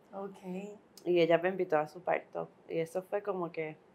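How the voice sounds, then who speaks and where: An unremarkable speaking voice from a woman, fairly low in pitch, with fairly even intonation. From Puerto Rico. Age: 40s. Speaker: midwife. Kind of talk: interview.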